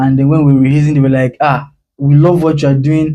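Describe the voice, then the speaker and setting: A man's fairly high, somewhat breathy voice with a dark, mellow tone and fairly even intonation. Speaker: spoken word poet. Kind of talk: interview.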